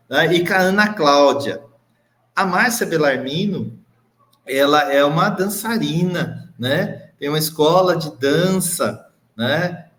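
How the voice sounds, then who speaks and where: Audible room echo follows a man as he talks at a very slow pace in a high voice. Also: ordinary pitch variation. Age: 50s. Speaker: education official hosting a web TV show. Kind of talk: live web show hosting. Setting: video stream from a bright room.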